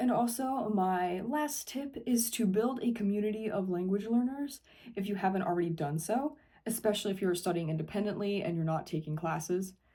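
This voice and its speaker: Someone with an American accent talks at a fairly quick pace in a dark, mellow tone that is somewhat breathy. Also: woman, medium pitch for a woman. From Ohio, USA. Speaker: English teacher. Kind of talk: casual educational talk to camera.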